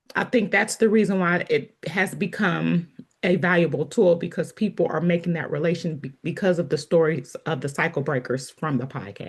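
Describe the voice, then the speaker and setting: Somewhat breathy delivery at a moderate pace, with ordinary pitch variation and hardly any pauses. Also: woman, fairly low pitch for a woman. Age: 40s. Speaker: podcast host. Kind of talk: casual chat.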